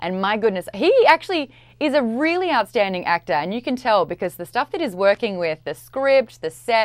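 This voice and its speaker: An Australian accent at a moderate pace, with very wide pitch swings, over a quiet background. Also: woman. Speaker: pop culture commentator. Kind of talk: promotional interview segment. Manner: animated. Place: studio. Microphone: lapel.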